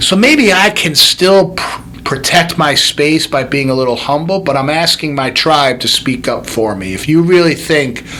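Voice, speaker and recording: The speech moves at a moderate pace with ordinary pitch variation. Noticeable noise sits in the background. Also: man. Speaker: chiropractor and podcast host. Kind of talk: motivational podcast monologue. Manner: loud; animated.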